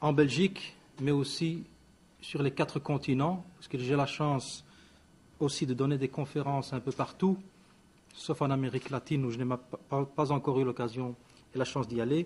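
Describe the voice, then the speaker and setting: Very clean recording with a silent background, featuring a man at a moderate pace with fairly even intonation and long, frequent pauses. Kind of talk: press conference statement. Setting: press conference. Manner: hesitant, many fillers.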